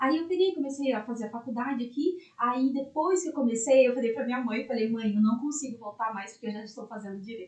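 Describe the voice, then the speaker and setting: At a very fast pace with hardly any pauses, a woman speaks in a high pitch with ordinary pitch variation and big swings in loudness. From interior of São Paulo state, Brazil (Itapeva). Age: 20s. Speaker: lawyer. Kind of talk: podcast interview, personal story.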